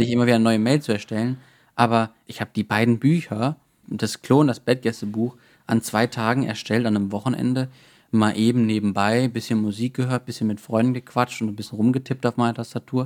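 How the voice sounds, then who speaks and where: This man speaks fairly quickly in a monotone, flat intonation, with a dry, close sound and no echo. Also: medium pitch for a man. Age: 20s. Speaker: self-publisher and IT consultant. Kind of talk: casual interview.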